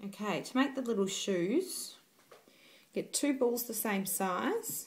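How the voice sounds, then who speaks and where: A woman's somewhat breathy voice with lively intonation, delivered at a very slow pace. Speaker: cake decorator. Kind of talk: cake decorating tutorial. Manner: casual, hesitant.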